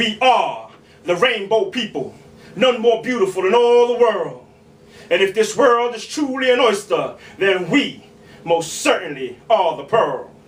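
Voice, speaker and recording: Speaking at a fairly slow pace, a man uses a high pitch and lively intonation. Noticeable background noise is heard throughout. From New York City. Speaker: spoken word poet. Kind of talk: spoken word poetry performance. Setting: live bar open mic.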